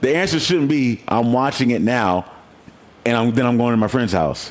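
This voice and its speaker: An animated man talks at a moderate pace and medium pitch with lively intonation. His loudness stays very even. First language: not English. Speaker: podcast host. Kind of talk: casual chat.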